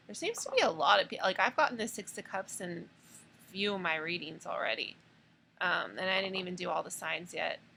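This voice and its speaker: Noticeable background noise sits behind a woman speaking at a fairly quick pace. Her loudness swings widely. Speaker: tarot reader. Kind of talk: tarot reading monologue. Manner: hesitant, many fillers.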